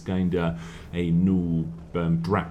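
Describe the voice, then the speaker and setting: A man's dark, mellow tone with a non-native accent. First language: not English. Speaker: gaming YouTuber. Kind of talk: gameplay replay commentary. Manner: animated; hesitant fillers.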